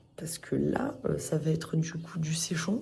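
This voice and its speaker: A woman speaks with a very deep, low pitch. Room echo can be heard. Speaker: motorcycle vlogger. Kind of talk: casual vlog. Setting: hotel room. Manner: hesitant, many fillers; whispering.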